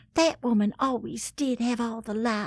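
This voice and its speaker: In a Southern US accent, a woman speaks at a fairly slow pace. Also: very clean recording, silent background. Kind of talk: comedic scripted letter reading.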